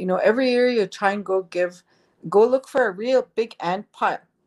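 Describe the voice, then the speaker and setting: Here a woman speaks in a plain, everyday voice at a moderate pace with fairly even intonation. The sound is dry and close, with no echo. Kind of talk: elder telling life story. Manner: gentle, reverent, laughs as she tells.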